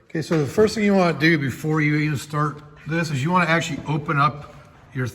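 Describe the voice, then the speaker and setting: A man rushes through his words at a very fast pace with noticeable background noise behind him. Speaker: car mechanic tutorial creator. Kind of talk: tutorial. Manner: casual.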